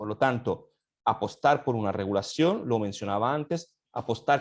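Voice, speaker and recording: A man with an Italian accent talks at a fairly slow pace, with ordinary pitch variation against a quiet background. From Italy. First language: Italian (speaking Spanish). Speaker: law academic. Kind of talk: panel discussion. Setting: online session. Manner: halting, many fillers.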